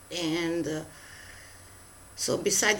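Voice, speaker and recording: Very slow speech in a non-native accent. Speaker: tarot reader. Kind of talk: spiritual message. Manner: halting, many fillers.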